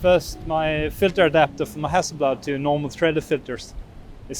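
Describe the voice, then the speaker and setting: With fairly even intonation, a man speaks at a moderate pace and a fairly high pitch. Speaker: landscape photographer vlogger. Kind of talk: casual vlog talk on location. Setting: outdoors on windy coast. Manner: loud, raised over wind; halting with fillers.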